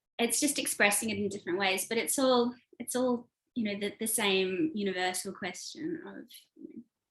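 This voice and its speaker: At a moderate pace, a woman with an Australian accent speaks in a fairly high pitch with ordinary pitch variation. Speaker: author and screenwriter. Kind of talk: interview. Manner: casual, many fillers.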